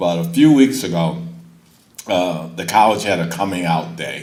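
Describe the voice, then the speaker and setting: Speaking at a moderate pace, a man keeps his intonation fairly even. Noticeable background noise and audible room echo fill the recording. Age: 70s. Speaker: college board member. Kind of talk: ceremony speech.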